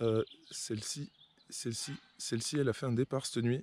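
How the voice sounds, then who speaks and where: A soft-spoken man talks at a fairly quick pace, his pitch medium and his intonation fairly even. The sound is dry and close, with no echo. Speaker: carp fishing vlogger. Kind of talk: casual vlog narration. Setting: outdoors by a lake.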